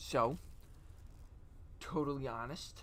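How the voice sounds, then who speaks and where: Male voice at a very slow pace with audible room echo. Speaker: streamer. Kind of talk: casual chat. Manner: soft-spoken; halting.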